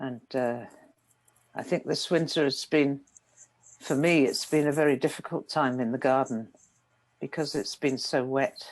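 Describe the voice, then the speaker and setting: A woman with a British accent speaks at a moderate pace in a very deep, low voice with fairly even intonation, long, frequent pauses and a quiet background. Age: 70s. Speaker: meditation teacher. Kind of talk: dharma talk. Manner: calm, gentle.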